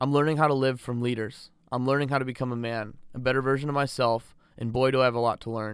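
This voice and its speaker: On a very clean recording with a silent background, a man with a Californian accent talks at a fairly quick pace in a medium pitch with monotone, flat intonation. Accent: Californian American English. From Southern California. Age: 20s. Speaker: podcast host, student pilot and entrepreneur. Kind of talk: scripted self-introduction.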